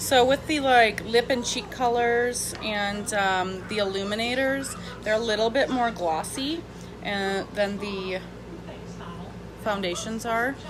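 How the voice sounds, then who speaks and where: A woman's fairly high voice at a very slow pace, with ordinary pitch variation, noticeable background noise and audible room echo. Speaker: makeup seller vlogger. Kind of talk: casual live makeup demo.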